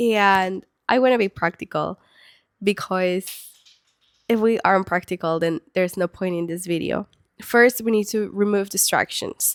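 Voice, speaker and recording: A woman's medium-pitched voice in a Spanish accent, moderate pace and fairly even intonation, dry and close with no echo, on a very clean recording with a silent background. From Peru. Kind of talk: faith talk to camera. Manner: casual with fillers.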